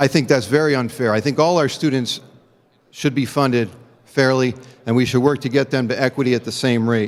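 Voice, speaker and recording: On a very clean recording with a silent background, a man with an ordinary speaking voice talks at a fairly quick pace with medium pitch and fairly even intonation. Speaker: state legislator. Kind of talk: legislative floor speech. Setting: legislative chamber.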